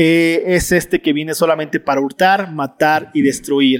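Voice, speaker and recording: Fairly high male pitch, its variation ordinary. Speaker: Bible study teacher. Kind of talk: Bible study lecture. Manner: fast.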